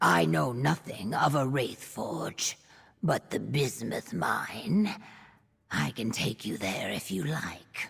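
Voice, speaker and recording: Someone uses a put-on character voice that is low-pitched and raspy, delivered at a very slow pace. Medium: video game. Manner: earnest, formal.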